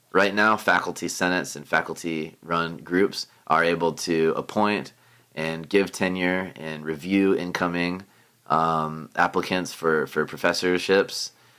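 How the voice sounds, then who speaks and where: With an American accent, a man speaks in a very deep, low voice that has a bright, sharp tone. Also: fairly slow pace. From Florida, Tampa. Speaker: local party chair and political staffer. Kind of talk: casual chat. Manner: halting, many fillers.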